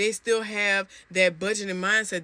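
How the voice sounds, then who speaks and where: A woman speaks in an animated tone. Her voice sounds bright and sharp. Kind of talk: devotional talk. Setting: in a closet at home. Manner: stuttering a little.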